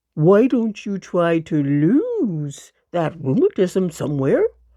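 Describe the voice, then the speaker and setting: Putting on a character voice, a woman talks fairly slowly at a medium pitch. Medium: read story.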